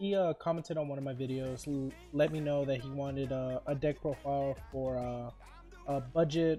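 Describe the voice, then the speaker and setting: Over music in the background, a man with a fairly high pitch speaks with fairly even intonation. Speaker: card game content creator. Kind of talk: casual talk to camera.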